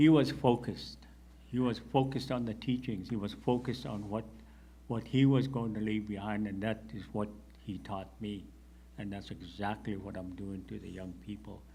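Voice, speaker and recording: Speaking at a moderate pace, a man with a fairly low pitch and a dark, mellow tone sounds somewhat breathy, with ordinary pitch variation and big swings in loudness. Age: 60s. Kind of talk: panel discussion.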